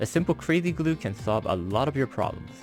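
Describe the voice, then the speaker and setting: A man at medium pitch and a moderate pace with very wide pitch swings, with music in the background. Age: 40s. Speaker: toy collector and photographer. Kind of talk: unboxing product review. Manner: uneven, wandering intonation.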